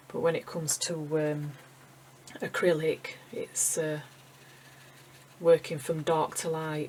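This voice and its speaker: Delivered very slowly with long, frequent pauses, the speech carries a Yorkshire accent and fairly even intonation. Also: woman, very deep, low pitch for a woman. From Yorkshire, England. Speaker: acrylic painter, art tutor. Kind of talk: casual talk while painting, tutorial. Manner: slightly awkward, hesitant.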